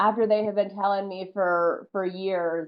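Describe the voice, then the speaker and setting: A woman with a slight Southern US accent speaks at a medium pitch and a moderate pace with ordinary pitch variation. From US South, North Carolina. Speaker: professional wrestler. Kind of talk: interview. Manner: animated.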